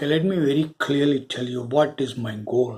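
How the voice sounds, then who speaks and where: A man speaks with a Tamil accent in a medium pitch. His tone is dark and mellow, with fairly even intonation. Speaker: spiritual video creator. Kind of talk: spiritual talk to viewers. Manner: hesitant, with fillers.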